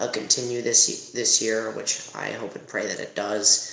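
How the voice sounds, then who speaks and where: Soft-spoken, a man talks at a fairly slow pace and medium pitch. Audible room echo surrounds his voice. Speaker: YouTube marching band reviewer. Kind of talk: casual review commentary. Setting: college dorm room at night. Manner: hesitant, many fillers.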